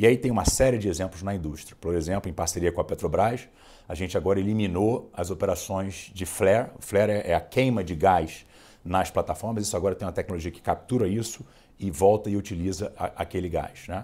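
This man has a fairly low pitch and a dark, mellow tone. He talks at a fairly quick pace with ordinary pitch variation. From Brazil. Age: 40s. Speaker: oil company executive; interviewee. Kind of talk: interview. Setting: studio. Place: studio. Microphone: lapel.

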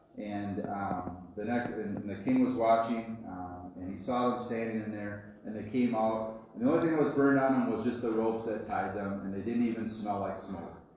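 A man at a moderate pace with ordinary pitch variation, strong room echo and light background noise. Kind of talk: children's story talk. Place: church. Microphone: camera far.

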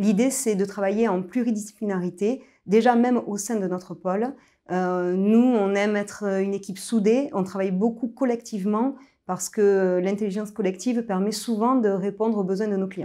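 A woman's medium-pitched voice, dark and mellow in tone, over a quiet background. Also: fairly even intonation, moderate pace. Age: 30s. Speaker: business advisory director. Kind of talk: corporate recruitment video interview. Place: office. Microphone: lapel.

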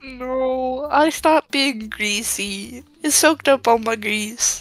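Putting on a character voice, the female-sounding speaker uses a whiny tone at a high pitch and a fairly slow pace. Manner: whiny, food-obsessed.

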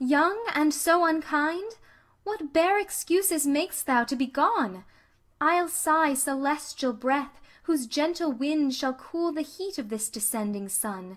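A woman speaks at a very slow pace in a high voice with a dramatic tone and very wide pitch swings. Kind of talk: poem reading aloud. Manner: dramatic, impassioned delivery, voicing Venus pleading.

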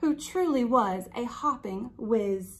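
Speaking slowly, a woman uses a fairly high pitch and lively intonation.

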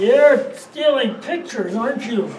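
A put-on character voice, fairly high in pitch, at a moderate pace with a slight echo and light background noise. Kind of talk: teen amateur comedy acting. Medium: comedy sketch. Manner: whiny, guilt-tripping. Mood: accusing.

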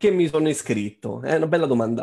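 Medium in pitch, a man's voice carries a dark, mellow tone and lively intonation. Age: 30s. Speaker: trading course student. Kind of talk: webinar testimony.

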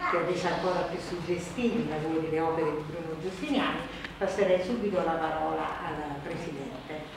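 With strong room echo and noticeable background noise, a woman speaks fairly quickly in a fairly low pitch. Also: ordinary pitch variation. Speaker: journalist and event moderator; journalist, event moderator. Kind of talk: event moderator announcement to audience. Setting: public hall event. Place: hall. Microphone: camera far.

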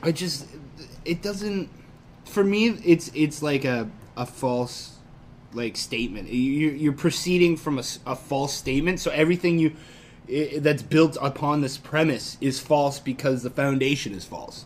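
With light noise in the background, a man talks at a fairly slow pace and varies his pitch in an ordinary way. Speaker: podcast co-host. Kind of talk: casual conversation, reading and reacting to text. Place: home room. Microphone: camera far.

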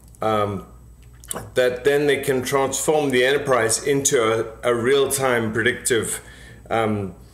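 Audible room echo surrounds a man's voice. He talks at a fairly slow pace with ordinary pitch variation. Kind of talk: interview answer. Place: home room. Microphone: webcam.

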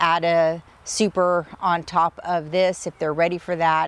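A woman's fairly low, monotone voice at a fairly slow pace, dry with no echo, with flat intonation. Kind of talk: casual vlog chat. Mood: cheerful. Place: garden. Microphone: lapel.

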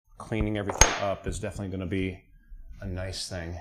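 A man with an American accent, fairly low-pitched and flat in intonation, talking at a fairly quick pace over noticeable background noise. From central North Carolina. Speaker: car mechanic streamer. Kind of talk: casual chat while working on an engine.

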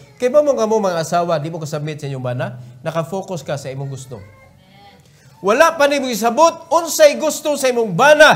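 In a Cebuano accent, a man talks at a fairly quick pace, his pitch swinging very widely and his loudness shifting in big swings. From Cebu, Philippines. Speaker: preacher. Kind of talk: sermon; fervent prayer, pleading and earnest, closing the meeting. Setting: church. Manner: emphatic, preaching with repeated commands; earnest, pleading. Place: church. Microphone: podium.

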